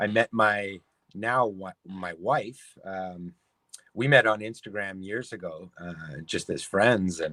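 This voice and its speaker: A man with an American accent talks very slowly in a fairly low pitch and a bright, sharp tone, with ordinary pitch variation and big swings in loudness. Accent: Canadian accent noticed by Californians. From Canada, Toronto, Ontario. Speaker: sign painter and pinstriping artist. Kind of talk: interview.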